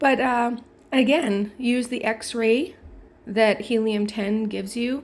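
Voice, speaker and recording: A woman uses a plain, everyday voice, fairly high in pitch with ordinary pitch variation. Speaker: online publishing tutorial creator. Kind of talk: tutorial. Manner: casual, filler-heavy.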